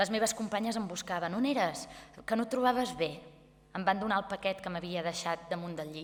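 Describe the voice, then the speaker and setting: At a moderate pace, a woman with a plain, everyday voice speaks with ordinary pitch variation. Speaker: actress. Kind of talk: literary reading. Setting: live event.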